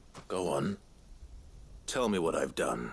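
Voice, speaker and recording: Man in a put-on character voice, very deep and low in pitch and raspy, with clear background noise. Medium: video game. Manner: terse, controlled.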